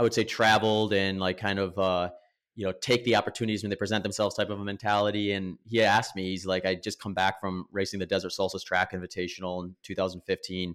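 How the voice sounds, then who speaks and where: A man talks very fast with an American accent. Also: very clean recording, silent background. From US Midwest, Wisconsin. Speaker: professional ultramarathon runner. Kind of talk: interview.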